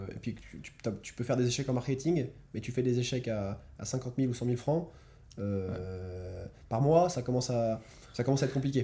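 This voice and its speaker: This man's voice sits at a medium pitch with a dark, mellow, somewhat breathy tone, ordinary pitch variation, a moderate pace and big swings in loudness. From France. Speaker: entrepreneur. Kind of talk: casual interview. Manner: halting, many repetitions.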